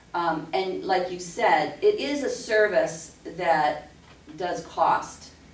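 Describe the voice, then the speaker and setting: Over light background noise, a woman's voice carries audible room echo. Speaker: class instructor. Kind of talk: lecture. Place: meeting room.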